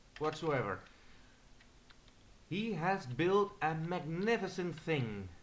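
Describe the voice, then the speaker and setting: A man with a Dutch accent talks at a very slow pace in a high pitch, leaving long, frequent pauses. His intonation is lively. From Netherlands. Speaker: gamer. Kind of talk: gameplay commentary. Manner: halting.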